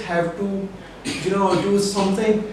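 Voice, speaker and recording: Through noticeable background noise and audible room echo, a man speaks in a high voice. His pace is fairly slow. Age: 20s. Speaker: electrical engineer. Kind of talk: interview. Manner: hesitant, with fillers.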